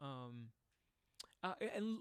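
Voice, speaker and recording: A man's voice swings very widely in pitch as he talks at a fairly slow pace. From Puerto Rico. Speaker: singer and vocal reaction youtuber. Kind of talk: live stream outro chat. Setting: live stream. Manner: halting, many fillers.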